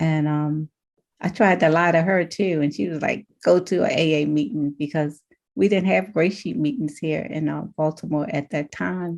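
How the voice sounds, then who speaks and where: Her very deep, low voice moves at a moderate pace, and this woman's pitch varies in an ordinary way. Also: quiet background. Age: 70s. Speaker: recovery group member sharing. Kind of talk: testimony. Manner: halting.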